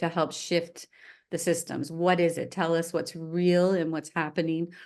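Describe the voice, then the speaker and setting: Against a quiet background, a woman speaks at a moderate pace with a fairly low pitch. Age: 60s. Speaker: arts nonprofit leader. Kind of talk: interview. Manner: halting.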